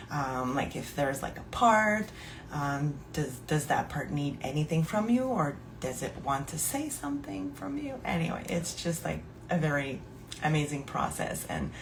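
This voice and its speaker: A woman's very deep, low-pitched voice with lively intonation at a moderate pace, in audible room echo. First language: French. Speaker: podcast host and somatic coach. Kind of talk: casual live podcast monologue. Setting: live stream. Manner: hesitant, many fillers.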